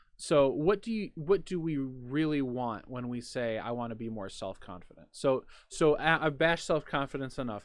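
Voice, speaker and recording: Against a quiet background, a man with a normal speaking voice talks at a moderate pace and medium pitch, his intonation lively. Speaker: podcast host, behavior analyst. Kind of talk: casual discussion.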